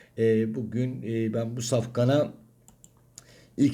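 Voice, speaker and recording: The voice sounds strained and somewhat breathy. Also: man. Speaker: horse racing tipster. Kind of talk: racing analysis monologue.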